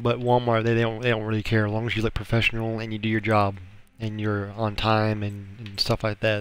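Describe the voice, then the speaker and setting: The speaker is a man with a fairly low pitch. He moves along at a fairly quick pace. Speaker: gaming streamer. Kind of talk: casual chat. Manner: halting.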